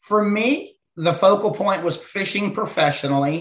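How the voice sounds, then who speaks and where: A normal speaking voice with an American accent goes at a moderate pace, with ordinary pitch variation. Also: man. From Ohio hill country, US Midwest. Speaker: entrepreneur, former professional angler. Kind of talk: interview conversation. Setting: studio.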